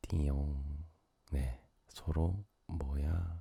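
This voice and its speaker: A man's very deep, low voice, dark and mellow, calm in tone, with vocal fry. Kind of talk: late-night sleep radio talk. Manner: soft-spoken, calm.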